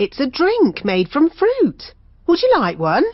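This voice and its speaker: A cartoonish character voice is heard. It moves at a fairly slow pace. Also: female-sounding voice, high pitch for a woman. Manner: cheery, brisk.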